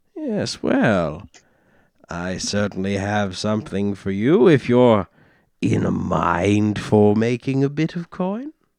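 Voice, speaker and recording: Over a quiet background, a man in a put-on character voice speaks at a fairly slow pace and a fairly low pitch. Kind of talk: posh gentlemanly affectation. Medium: actual play. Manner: pompous, flowery, self-promoting.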